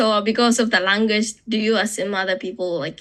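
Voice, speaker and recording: At a fairly quick pace, a woman speaks with a Japanese accent. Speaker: podcast guest. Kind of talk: casual chat. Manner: halting.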